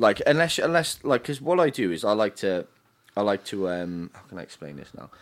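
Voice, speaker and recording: The man's voice sits at a fairly low pitch and moves through very wide pitch swings. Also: fairly quick pace, big swings in loudness. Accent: Cardiff. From Wales. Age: 30s. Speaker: DJ. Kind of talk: casual chat.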